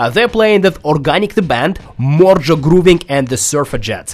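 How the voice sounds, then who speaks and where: In a Russian accent, a man with a fairly high pitch speaks at a moderate pace. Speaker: radio host. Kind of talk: radio interview. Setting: studio.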